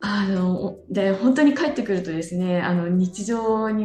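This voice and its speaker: Ordinary pitch variation from a woman, with noticeable background noise. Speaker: trekker and blogger. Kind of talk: casual interview. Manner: hesitant, many fillers.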